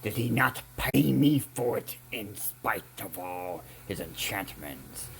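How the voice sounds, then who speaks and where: A man's growling put-on character voice, fairly low in pitch, at a fairly slow pace over light background noise. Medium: read story. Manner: impatient, irritable.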